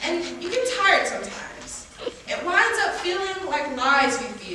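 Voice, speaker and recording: A woman speaks at a high pitch and moderate pace in a raised, projected voice with very wide pitch swings, over noticeable background noise. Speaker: spoken word poet. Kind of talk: spoken word poetry performance. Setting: live stage showcase.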